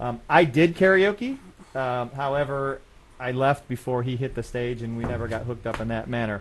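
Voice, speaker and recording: With an unremarkable speaking voice, a man talks at a moderate pace and medium pitch, using ordinary pitch variation. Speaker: web show host. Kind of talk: casual live show chat. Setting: studio.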